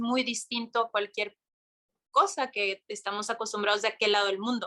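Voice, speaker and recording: At a moderate pace, a woman speaks in a Mexican accent with ordinary pitch variation and a bright, sharp tone. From Mexico. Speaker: yoga instructor and content creator. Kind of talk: interview conversation. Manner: animated.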